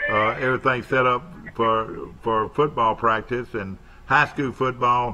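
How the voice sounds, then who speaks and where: This man with an Alabama accent has a medium pitch and fairly even intonation. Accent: US South (Alabama). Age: 70s. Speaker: local TV talk show host. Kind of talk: casual live TV chat. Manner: halting, many fillers.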